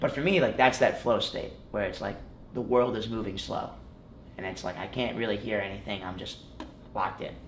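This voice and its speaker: With an American accent, a man talks at a medium pitch and a fairly quick pace, using ordinary pitch variation, long and frequent pauses, and audible room echo. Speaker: college wrestling champion. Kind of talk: casual interview chat.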